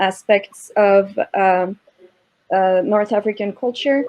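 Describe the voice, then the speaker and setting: A woman with a French accent speaks very slowly at a fairly high pitch. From southern France. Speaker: Arabic-speaking professional panelist. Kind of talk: panel discussion.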